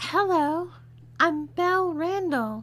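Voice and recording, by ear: Putting on a character voice, a woman speaks at an extremely high pitch and a slow pace with lively intonation and a fairly bright tone.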